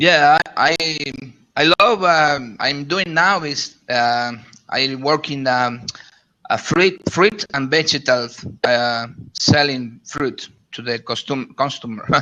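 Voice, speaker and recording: Speaking at a very slow pace with a Spanish accent, a man uses a fairly high pitch and ordinary pitch variation. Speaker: shop owner and network marketer. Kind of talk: casual group chat. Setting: live video chat online. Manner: halting, many repetitions.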